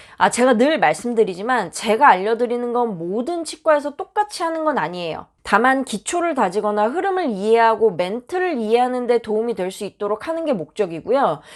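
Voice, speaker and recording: Speaking at a fairly quick pace with hardly any pauses, a woman uses a fairly high pitch with very wide pitch swings. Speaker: dental hygienist. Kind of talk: tutorial. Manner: stiff tone.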